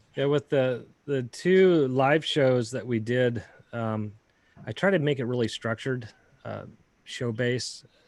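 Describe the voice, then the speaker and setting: Here a man with an American accent talks at a fairly slow pace. His pitch is medium, with ordinary pitch variation. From Northern California. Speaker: YouTube creator and drone pilot. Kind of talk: casual interview chat. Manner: halting, many repetitions and fillers.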